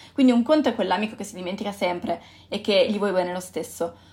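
A woman speaks very fast in a somewhat breathy voice, her pitch varying in an ordinary way. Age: 20s. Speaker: podcast host. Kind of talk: solo reflective monologue. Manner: halting.

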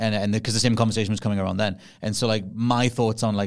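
With a Geordie accent, a man talks at a very fast pace in a monotone, flat intonation, captured in a very clean recording with a silent background. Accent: Geordie, toned down. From northeast England. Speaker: podcast host, game creator. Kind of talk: casual chat.

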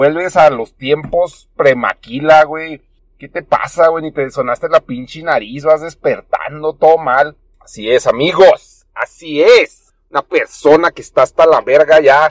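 Big swings in loudness at a fairly slow pace, with a dry, close sound and no echo. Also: man, ordinary pitch variation. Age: 30s. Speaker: podcast host. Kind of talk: casual monologue. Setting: in a car. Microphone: poor audio.

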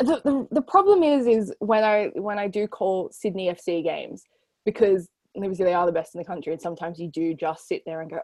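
A woman with an Australian accent, medium in pitch with ordinary variation, dark and mellow in tone, at a fairly quick pace. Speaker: sports journalist and co-host. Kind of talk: casual chat. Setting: video call.

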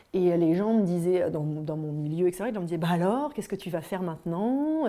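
A woman with a fairly low, dark, mellow voice speaks with hardly any pauses. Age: 40s. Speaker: psychotherapist and yoga teacher, former magazine editor. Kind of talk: personal testimony.

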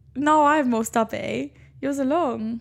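Speaking at a fairly slow pace, a woman with a high pitch shows ordinary pitch variation and some vocal fry.

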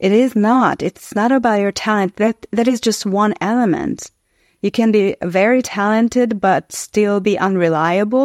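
A woman with a Hungarian accent speaks at a very even loudness with ordinary pitch variation, in a dry, close sound with no echo. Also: very clean recording, silent background. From Hungary. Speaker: actress and author. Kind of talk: casual interview.

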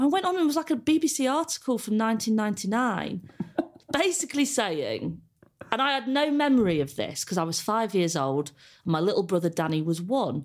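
A woman with an English accent talks at a fairly quick pace, her loudness very even while her pitch swings very widely. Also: fairly high pitch for a woman. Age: 30s. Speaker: comedian. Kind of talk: casual chat.

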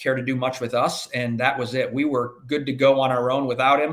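A medium-pitched man with an American accent at a fairly quick pace, his intonation fairly even. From US Midwest, inner-city Chicago. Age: 50s. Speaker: agriculture insurance professional. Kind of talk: podcast interview. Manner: halting, many fillers.

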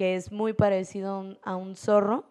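Dark and mellow in tone, a woman speaks at medium pitch. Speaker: poet and street artist. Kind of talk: casual interview chat.

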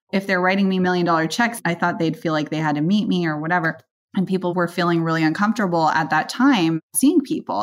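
A woman in a normal speaking voice, fairly low-pitched with ordinary pitch variation, at a fairly quick pace, on a very clean recording with a silent background. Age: 30s. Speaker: venture capital investor. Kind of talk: interview conversation.

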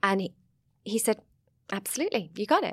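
A woman speaks with a Sussex accent on a very clean recording with a silent background. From southern England, Sussex. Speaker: vineyard owner and film producer. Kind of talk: casual interview chat.

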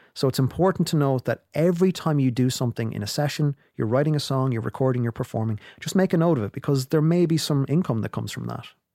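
A man with an Irish Midlands accent speaks very fast at a fairly high pitch in a dark, mellow tone, with ordinary pitch variation and hardly any pauses. The sound is dry and close with no echo, on a very clean recording with a silent background. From Ireland, County Longford. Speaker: music industry lecturer and consultant. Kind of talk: interview.

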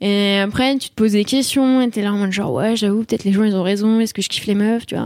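A woman's fairly high voice with ordinary pitch movement and a fairly quick pace, dry and close with no echo, on a very clean recording over a silent background. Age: 20s. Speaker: communication student. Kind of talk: casual interview. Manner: animated, laughs often.

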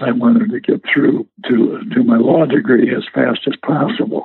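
Speaking at a fairly slow pace with an American accent, this voice swings very widely in pitch. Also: man. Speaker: WWII veteran and retired lawyer. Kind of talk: oral history interview. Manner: halting, with many fillers.

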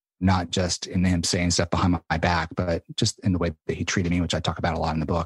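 Very deep, low-pitched male voice with an American accent, flat monotone delivery, slight breathiness, very even loudness, a very fast pace with hardly any pauses, and a dry, close sound with no echo. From rural Arkansas, US South. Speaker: author and mindset coach. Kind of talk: casual interview chat. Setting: podcast interview.

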